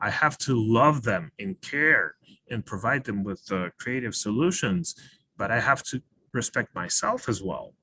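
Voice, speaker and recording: At a fairly slow pace, a man speaks at a medium pitch in a bright, sharp tone with lively intonation, the sound dry and close with no echo. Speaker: webinar speaker. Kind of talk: webinar talk.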